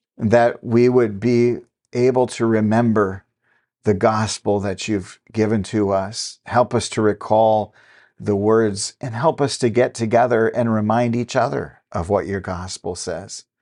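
A man speaks at a fairly slow pace and a medium pitch. His tone is dark and mellow, and the background is quiet. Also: fairly even intonation. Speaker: podcast host and lay preacher. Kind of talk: fervent prayer, addressing God aloud. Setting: recorded podcast. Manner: earnest, heartfelt, fervent; measured, devotional, with repeated 'Lord'.

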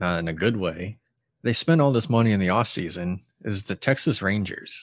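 On a very clean recording with a silent background, a man with a fairly low pitch has a plain, everyday voice and ordinary pitch variation. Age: 20s. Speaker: podcast co-host. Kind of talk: casual chat.

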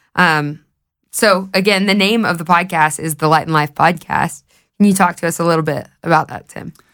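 In a very clean recording with a silent background, a woman with a Southern US accent talks at a moderate pace, her pitch fairly low and intonation fairly even. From US South, Knoxville, Tennessee. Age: 20s. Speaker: podcast host. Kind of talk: casual chat.

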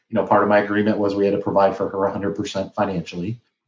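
Speaking very fast, a man with a Midwestern American accent uses a fairly low pitch. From Flint, Michigan. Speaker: business owner and podcast host. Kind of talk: interview storytelling.

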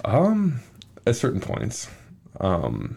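This man's pitch swings very widely. His voice carries vocal fry. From Minneapolis, Minnesota. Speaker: college football player. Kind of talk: interview.

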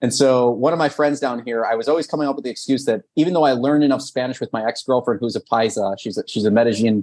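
A man talks at a very fast pace with an American accent. The background is quiet. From US, son of Soviet immigrants. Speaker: business consultant, CEO. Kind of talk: interview.

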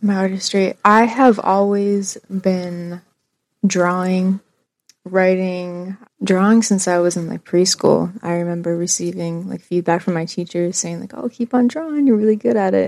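A normal speaking voice with an American accent moves at a fairly slow pace with ordinary pitch variation, in a dry, close sound with no echo. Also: woman, medium pitch for a woman. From western Pennsylvania, Du Bois. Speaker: graphic designer and poet. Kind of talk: casual chat.

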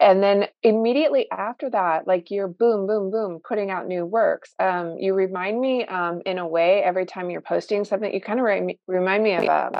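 Here is a normal speaking voice from a woman at medium pitch. She keeps a moderate pace and fairly even intonation. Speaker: podcast co-host. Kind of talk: casual interview.

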